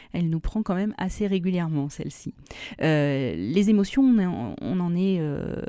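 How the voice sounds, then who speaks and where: Speaking at a fairly slow pace, a woman with a fairly low pitch and a dark, mellow tone uses lively intonation and takes long, frequent pauses. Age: 40s. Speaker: pediatric nurse. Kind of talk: radio interview. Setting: radio studio. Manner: hesitant, many filler sounds.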